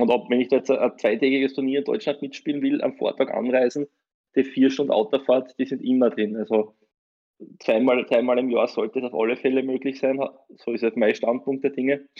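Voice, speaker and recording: The speech moves at a fairly quick pace with fairly even intonation. It is an ordinary speaking voice. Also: man, medium pitch for a man. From Austria, Styria. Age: 30s. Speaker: lawyer and tournament organizer. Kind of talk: interview.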